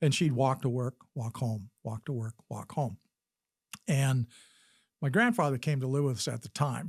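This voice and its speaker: Somewhat breathy, a man's voice comes through a very clean recording with a silent background and a dry, close sound without echo. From Wisconsin, US Midwest; raised partly in Utah. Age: 70s. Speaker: physician and army veteran. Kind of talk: interview storytelling.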